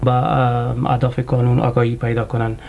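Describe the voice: A man's medium-pitched voice, with vocal fry and monotone, flat intonation, sits over faint background noise.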